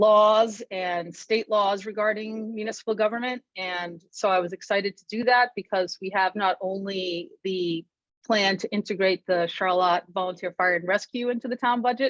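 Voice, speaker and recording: A woman with an American accent speaks at medium pitch and a moderate pace, with hardly any pauses and fairly even intonation, in a plain, everyday voice. Her loudness swings widely, and the sound is dry and close with no echo. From Massachusetts. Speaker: local election candidate. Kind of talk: candidate speech at forum.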